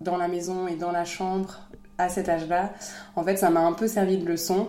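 Audible room echo around a woman's medium-pitched voice, delivered at a fairly slow pace. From France. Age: 30s. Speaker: mother of a child with a rare disease, founder of an inclusive playground. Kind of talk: interview, personal testimony.

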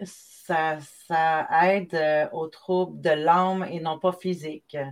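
A woman with a Quebec accent and monotone, flat intonation. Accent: Québécois French. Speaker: magazine creator and live show host. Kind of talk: live video interview. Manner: halting.

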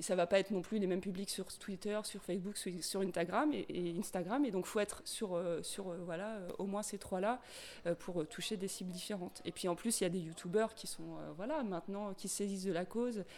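A woman talks in a plain, everyday voice at a medium pitch, keeping a moderate pace and fairly even intonation. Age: 40s. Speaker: volunteer activist, logistics. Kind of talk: interview.

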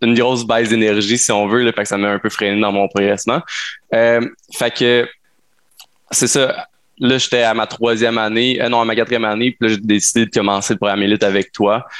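A man with a Quebec accent talks at a fairly quick pace in a monotone, flat intonation, broken by long, frequent pauses. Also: medium pitch for a man, very even loudness. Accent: Québécois French. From Quebec, Sherbrooke. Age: 20s. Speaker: entrepreneur. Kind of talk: casual interview.

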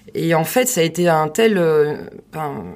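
A woman has an ordinary speaking voice, fairly low in pitch. Her pitch varies in an ordinary way. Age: 40s. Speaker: sales department manager. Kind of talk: casual interview. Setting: studio tent in Paris.

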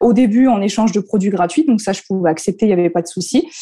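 In a quiet background, a woman speaks in a medium pitch. Her voice has a dark, mellow tone. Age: 20s. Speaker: content creator, former primary school teacher. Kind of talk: casual interview chat.

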